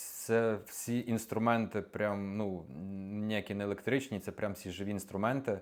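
A man with an ordinary speaking voice, fairly low in pitch and fairly even in intonation, at a fairly slow pace on a very clean recording with a silent background. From western Ukraine (Morshyn). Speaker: videographer. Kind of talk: interview. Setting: studio.

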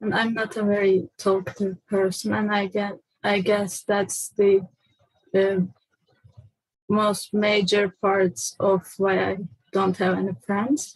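Against a quiet background with dry sound and no echo, a woman speaks very slowly at a medium pitch, somewhat breathy and flat in intonation, with long, frequent pauses. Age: 20s. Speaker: person seeking personality typing. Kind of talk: personal testimony. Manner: halting, many fillers. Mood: quiet, hesitant, reflective. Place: home room. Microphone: webcam.

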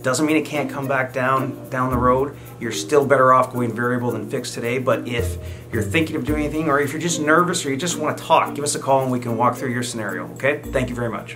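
Over clear music in the background, a man talks at a very fast pace with ordinary pitch variation. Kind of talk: direct-to-camera business update. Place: office. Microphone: camera far.

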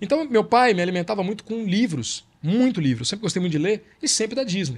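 Speaking at a very fast pace, a man uses a high pitch that makes very wide swings. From Brazil. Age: 50s. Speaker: journalist and author. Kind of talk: casual chat.

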